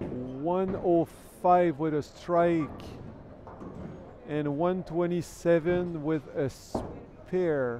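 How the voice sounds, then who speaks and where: A man with a French Canadian accent speaks at a very slow pace in a high pitch, using fairly even intonation and long, frequent pauses. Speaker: bowling commentator. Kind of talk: live commentary. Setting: bowling centre livestream.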